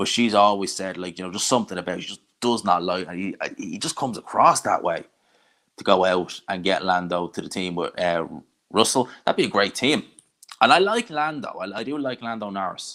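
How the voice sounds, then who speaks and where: A man with a Dublin accent talks at a fairly quick pace and fairly low pitch, his bright, sharp tone carrying lively intonation and big swings in loudness. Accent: Irish Dublin accent, less strong than some. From Ireland, Dublin. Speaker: combat sports YouTuber. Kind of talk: live stream watch-along, reading chat. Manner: casual, conversational.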